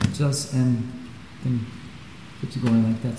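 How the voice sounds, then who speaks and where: A man with a medium-pitched voice talks at a very slow pace, with audible room echo and noticeable background noise. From Switzerland. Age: 60s. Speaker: karate teacher. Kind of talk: interview. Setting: dojo.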